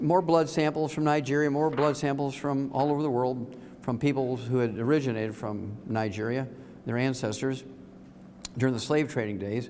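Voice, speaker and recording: Through audible room echo, a man speaks at a medium pitch and moderate pace with ordinary pitch variation. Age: 70s. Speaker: health speaker. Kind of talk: seminar talk to live audience. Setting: room with live audience. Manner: animated.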